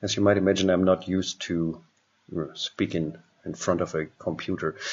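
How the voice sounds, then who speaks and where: A man speaks with a non-native accent. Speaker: software trainer. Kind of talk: tutorial. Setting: home computer screen recording. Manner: hesitant, with many fillers. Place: home room.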